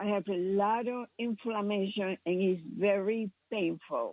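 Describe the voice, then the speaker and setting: The woman's delivery is very slow. She keeps her intonation fairly even. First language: not English. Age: 80s+. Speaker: caller. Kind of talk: phone call to radio show. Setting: phone call. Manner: halting.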